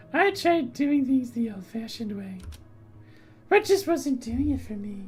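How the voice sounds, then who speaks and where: A female-sounding voice uses a put-on character voice at a high pitch. The pace is moderate. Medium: game stream. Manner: teasing, mocking.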